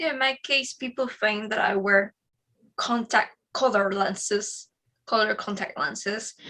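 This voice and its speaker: A woman with a Spanish accent speaks fairly slowly at a fairly high pitch, her tone bright and sharp, with ordinary pitch variation. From Spain, Madrid. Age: 20s. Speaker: psychic medium. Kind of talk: interview conversation.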